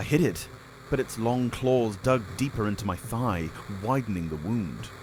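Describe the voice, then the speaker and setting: With lively intonation and a medium pitch, a man talks at a moderate tempo while noticeable background noise runs underneath. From Britain. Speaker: audiobook narrator. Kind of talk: audiobook narration of a game story, first person.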